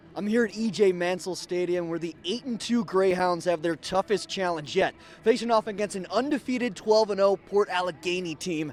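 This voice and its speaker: With hardly any pauses, a man with an American accent speaks at a fairly quick pace and high pitch, using ordinary pitch variation. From Chicago suburbs, Illinois, USA. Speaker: sports reporter and anchor. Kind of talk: TV sports news reporter stand-up.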